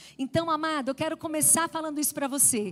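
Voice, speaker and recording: On a very clean recording with a silent background, a woman speaks at a high pitch in an animated tone. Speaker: women's ministry preacher. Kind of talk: sermon.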